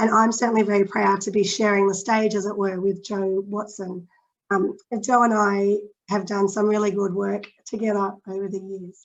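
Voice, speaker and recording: A woman speaks in an Australian accent at a moderate pace. Her intonation stays monotone and flat. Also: medium pitch for a woman. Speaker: patient advocacy organisation chief executive. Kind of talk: webinar presentation.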